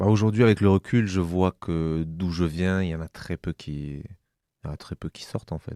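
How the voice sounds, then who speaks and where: A man speaks at a very deep, low pitch in a dark, mellow tone. The recording is very clean, with a silent background and a dry, close sound with no echo. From southwest France, Gers countryside. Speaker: interviewee telling life story. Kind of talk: personal testimony. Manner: halting, many repetitions and fillers.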